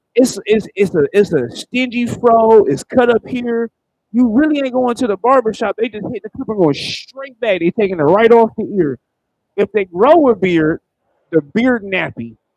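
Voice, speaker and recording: With a dry, close sound and no echo, a man talks at a moderate pace in a high voice, his intonation lively and his tone animated. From Cleveland, Ohio, US Midwest. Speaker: stand-up comedian. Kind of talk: stand-up.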